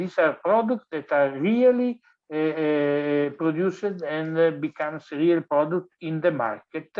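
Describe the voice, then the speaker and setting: A man with an Italian accent speaks at a fairly slow pace, his fairly high pitch rising and falling in lively intonation. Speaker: design professor. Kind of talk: lecture. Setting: online webinar. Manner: halting, many fillers.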